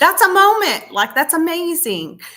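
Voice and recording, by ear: Speaking at a fairly slow pace, a woman with an extremely high pitch and a bright, sharp tone makes big pitch swings.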